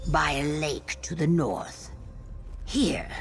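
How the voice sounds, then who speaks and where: A put-on character voice at a very slow pace, with clear music in the background. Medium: machinima.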